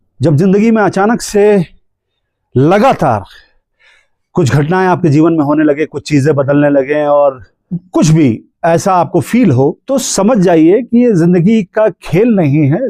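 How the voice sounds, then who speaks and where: This man's voice is high-pitched for a man, with a dark, mellow tone, lively intonation and very even loudness. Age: 40s. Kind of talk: casual spiritual talk to camera.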